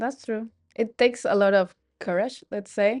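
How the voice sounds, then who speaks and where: A woman's dark, mellow voice with a non-native accent, over a quiet background. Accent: foreign. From Colombia. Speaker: hotel receptionist. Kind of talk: casual interview.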